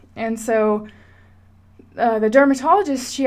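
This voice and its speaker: An unremarkable speaking voice, a woman's, fairly high in pitch, with fairly even intonation and an American accent. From Washington State, US. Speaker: podcaster. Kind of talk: personal monologue.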